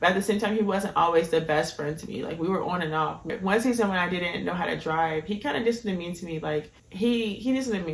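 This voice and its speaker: A woman speaks at a fairly low pitch and a fairly quick pace, with ordinary pitch variation. The recording has audible room echo and noticeable background noise. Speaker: YouTuber. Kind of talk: storytime monologue. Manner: fast; casual with many fillers.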